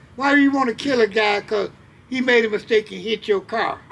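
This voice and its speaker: Over noticeable background noise, a man talks with fairly even intonation at an extremely high pitch. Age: 70s. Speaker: elder sharing life advice. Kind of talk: casual interview conversation. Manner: halting, repeats words.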